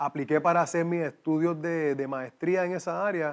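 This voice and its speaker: Against a quiet background, a man talks at a fairly slow pace. His pitch is fairly high, his intonation fairly even. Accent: slight Cuban. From Puerto Rico. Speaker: exercise physiologist. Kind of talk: interview testimony.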